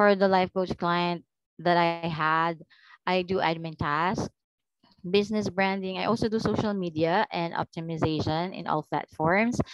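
Against a quiet background with dry sound and no echo, a woman with an unremarkable speaking voice talks at a moderate pace in a fairly low pitch with fairly even intonation. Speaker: virtual assistant. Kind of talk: job interview. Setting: video call. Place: home room. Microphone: headset.

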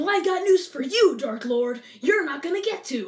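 Using a put-on character voice with an extremely high pitch, the speaker moves at a moderate pace. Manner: defiant, dramatic.

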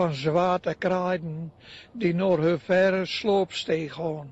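A man with a Drenthe accent speaks at a very slow pace. His voice is high, with fairly even intonation. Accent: North Drenthe dialect. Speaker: retired schoolteacher, poet. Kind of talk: poetry reading.

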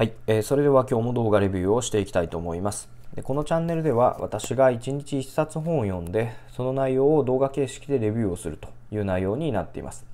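A man with a dark, mellow tone and medium pitch, lively intonation and a very fast pace. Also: big swings in loudness. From Japan. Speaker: book review YouTuber. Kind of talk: solo video book review. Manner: polite, formal, filler-heavy, hesitant. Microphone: phone near.

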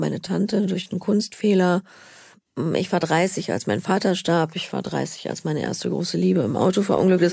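A woman speaks at a moderate pace in a fairly low pitch with vocal fry. Her pitch varies in an ordinary way, and the recording is very clean with a silent background. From Berlin. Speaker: actress. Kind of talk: interview answer.

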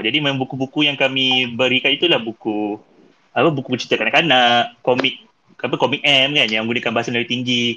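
A male speaker, an ordinary speaking voice, medium-pitched and fairly quick. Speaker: podcast host. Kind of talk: casual chat.

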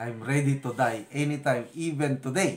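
A man's voice comes across as somewhat breathy. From Philippines, La Union (Ilocos region); La Union, Philippines. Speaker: retired officer turned vlogger and farmer; retired officer turned vlogger. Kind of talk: casual personal vlog talk. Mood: reflective, calm, faith-filled. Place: kitchen. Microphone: phone near.

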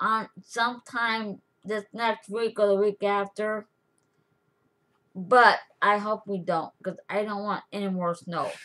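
At a fairly slow pace, a woman talks with ordinary pitch variation. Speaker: craft vlogger. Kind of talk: casual vlog chat. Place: home room. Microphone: webcam.

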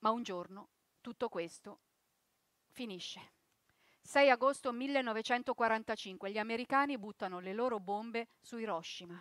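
A woman at a moderate pace, with long, frequent pauses, ordinary pitch variation, a dry sound with no echo and a quiet background. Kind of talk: theatrical monologue and narration. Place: stage.

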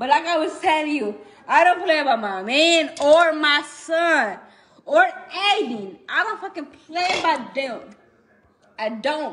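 With lively intonation, a woman speaks at an extremely high pitch and a fairly slow pace. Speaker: livestreamer. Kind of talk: casual livestream rant. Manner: drunk, loose and slurry ranting. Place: home room. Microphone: phone near.

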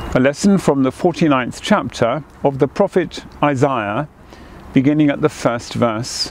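A quiet man speaks in a solemn tone at a fairly slow pace, his fairly high pitch showing ordinary variation and his loudness very even, in a dry sound with no echo over light background noise. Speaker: cathedral dean leading prayers. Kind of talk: fervent prayer, intoning liturgy and blessing. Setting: outdoors in a garden. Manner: solemn, slow, reverent, hushed, measured cadence; formal. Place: garden.

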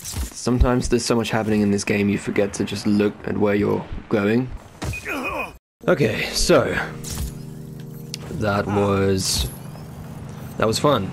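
Music plays behind a man who speaks at a fairly slow pace with long, frequent pauses, using a fairly low pitch with ordinary variation. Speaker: gaming channel host. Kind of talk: gameplay commentary, casual talk over a video game. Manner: deliberately calm, measured.

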